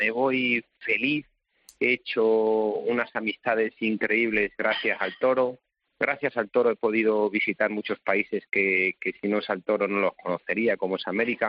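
Fairly even intonation marks this man's medium-pitched voice. He speaks at a fairly slow pace. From Spain, Salamanca province. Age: 40s. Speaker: bullfighter. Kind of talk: interview. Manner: halting.

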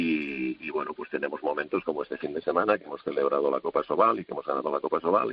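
The man's speech rushes at a very fast pace amid noticeable background noise. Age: 60s. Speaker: assistant handball coach. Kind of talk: radio interview.

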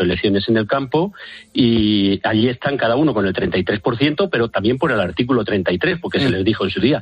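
A man's fairly low-pitched, normal speaking voice with ordinary pitch variation. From Spain, Valladolid. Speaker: farmers' union representative. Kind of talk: phone interview.

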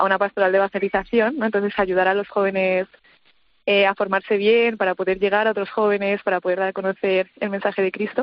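A woman's medium-pitched voice at a very fast pace, monotone and flat, with very even loudness. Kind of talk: radio interview.

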